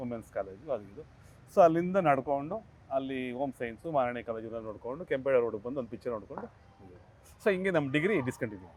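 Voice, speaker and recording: A man with an ordinary speaking voice, medium pitch and lively intonation. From Bangalore, Karnataka, India. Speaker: film actor and dialogue writer. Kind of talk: interview.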